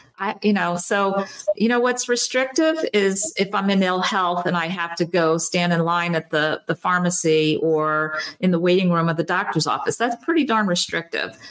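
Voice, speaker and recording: With lively intonation and very even loudness, a woman talks at a moderate pace in a medium pitch against noticeable background noise. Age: 50s. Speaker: doctor. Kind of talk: interview.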